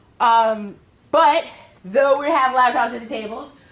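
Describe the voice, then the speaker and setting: Amid audible room echo and noticeable background noise, this woman's intonation is lively. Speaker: professor. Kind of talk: lecture. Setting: classroom. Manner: fast.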